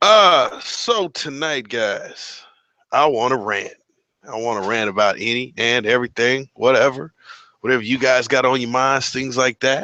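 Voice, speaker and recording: A man's medium-pitched voice, bright and sharp in tone, animated, with ordinary pitch variation at a moderate pace. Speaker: live stream host, motorcycle vlogger. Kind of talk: casual live stream chat. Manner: animated, casual.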